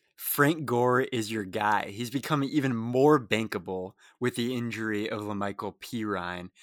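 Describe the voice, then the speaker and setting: A man's normal speaking voice at a medium pitch, a moderate pace and ordinary pitch variation. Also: very clean recording, silent background. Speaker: fantasy football analyst. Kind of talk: casual chat.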